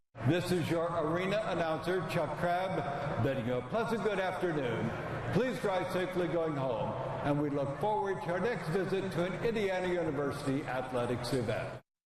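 Noticeable background noise and audible room echo surround a man speaking. His pitch is high, and his pace is moderate. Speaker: public address announcer. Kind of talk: arena public address announcement. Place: stadium.

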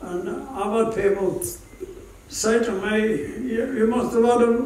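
Audible room echo and light background noise accompany a man speaking at a fairly slow pace with a high pitch and ordinary pitch variation. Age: 80s+. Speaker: war veteran. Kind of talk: interview answer. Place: hall.

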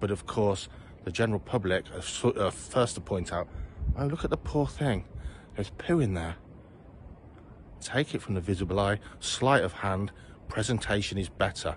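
A man's fairly low voice with lively intonation and long, frequent pauses, over light background noise. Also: moderate pace, dry sound with no echo. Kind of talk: casual vlog chat. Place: garden. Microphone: phone near.

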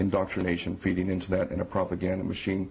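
A man's somewhat breathy, very deep, low voice at a very fast pace, with light background noise. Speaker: guest. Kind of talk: debate answer. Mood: earnest, argumentative. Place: studio.

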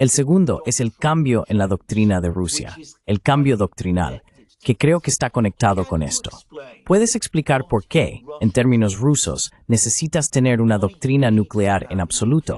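Over a quiet background, a man's dark, mellow tone carries lively intonation at a moderate pace, the sound dry and close with no echo. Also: medium pitch for a man. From Greece. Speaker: political commentator. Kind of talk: interview. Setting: video call.

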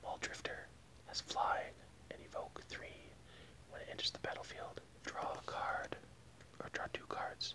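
A man whispers. He speaks at a fairly slow pace. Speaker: card game deck reviewer. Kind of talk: casual tutorial. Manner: soft close ASMR voice. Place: home room. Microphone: earbuds.

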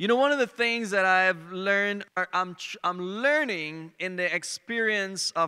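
Against a quiet background, a man projects a raised voice at a fairly slow pace. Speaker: preacher. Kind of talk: sermon. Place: stage. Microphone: handheld.

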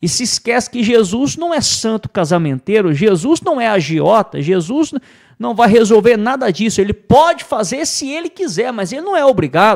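A man with a Brazilian accent, at a moderate pace, extremely high in pitch with very wide pitch swings, over a quiet background. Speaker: preacher. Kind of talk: sermon. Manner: emphatic, repetitive pulpit delivery; earnest, teaching tone. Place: studio. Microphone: studio mic.

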